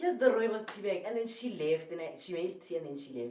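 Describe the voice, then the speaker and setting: Spoken at a moderate pace with a South African accent. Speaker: YouTuber. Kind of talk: storytelling vlog. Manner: animated.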